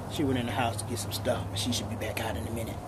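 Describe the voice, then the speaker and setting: A man speaks over loud background noise. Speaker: home vlogger. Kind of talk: casual vlog chat. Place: garden. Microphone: phone near.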